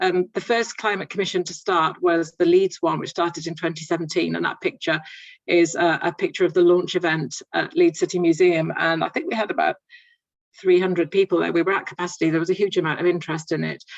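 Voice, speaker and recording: At a very fast pace, a woman talks with a fairly low pitch and fairly even intonation. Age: 60s. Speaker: climate communications manager. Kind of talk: panel talk with slides. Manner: hesitant, many fillers and repetitions.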